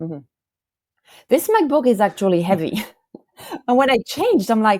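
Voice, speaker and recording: A woman speaks with a French accent at a fairly high pitch, her voice making very wide pitch swings. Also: fairly quick pace. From northern France (Valenciennes). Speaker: family photo curator. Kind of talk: interview.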